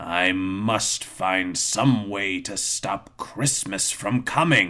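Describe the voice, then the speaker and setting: A man's put-on character voice, raspy and growling, at a fairly low pitch and very slow pace. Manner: growling, sneering.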